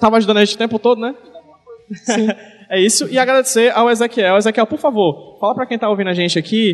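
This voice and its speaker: A man's high-pitched voice, ordinary pitch variation, very fast pace. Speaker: podcast host and comics-writing teacher. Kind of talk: live panel talk at event. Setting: stage with audience in a shopping mall.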